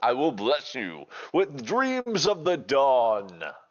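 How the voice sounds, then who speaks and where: This is a put-on character voice with a guttural sound. It moves at a very slow pace. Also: man, medium pitch for a man. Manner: solemn, grand.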